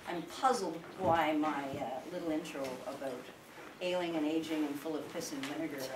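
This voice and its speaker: Noticeable background noise sits behind speech at a moderate pace with ordinary pitch variation. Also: woman. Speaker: sheep farmer and public speaker. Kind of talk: informal public talk to an audience. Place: home room. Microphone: camera far.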